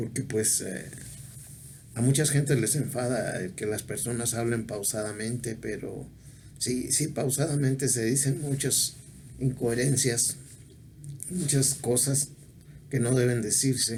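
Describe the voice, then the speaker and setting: Through audible room echo, a man talks at a fairly slow pace with fairly even intonation and long, frequent pauses. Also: medium pitch for a man. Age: 70s. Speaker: video blogger. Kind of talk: casual monologue. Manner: halting.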